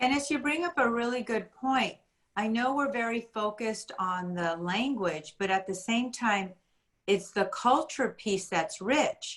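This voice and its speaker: Speaking with a Spanish accent, a woman uses a fairly high pitch and lively intonation. She talks at a fairly slow pace. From USA, Spanish-speaking home. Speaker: school administrator, workshop moderator. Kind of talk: parent workshop discussion.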